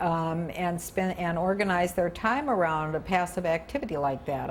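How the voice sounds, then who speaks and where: A woman speaks at a fairly slow pace with a medium pitch, and noticeable background noise is audible. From US Midwest. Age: 70s. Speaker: retired broadcaster and Peace Corps volunteer. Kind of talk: interview. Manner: animated.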